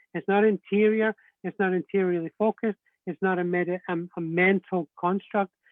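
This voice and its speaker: A man with a Scottish accent, high pitch, fairly even intonation and a moderate pace. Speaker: Celtic spirituality teacher. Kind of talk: interview on spirituality. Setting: live video stream.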